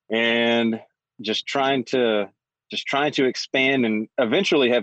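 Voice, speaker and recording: A man at medium pitch, speaking at a fairly slow pace with a Southern US accent. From Atlanta, Georgia. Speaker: listener calling in, podcaster. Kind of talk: casual call-in conversation. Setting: call on phone, away from home. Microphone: phone.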